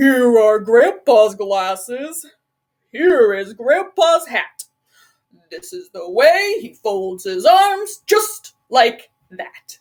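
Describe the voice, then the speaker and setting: A woman performs a put-on character voice, pitched high with very wide swings. She speaks at a very slow pace, with big swings in loudness. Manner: silly.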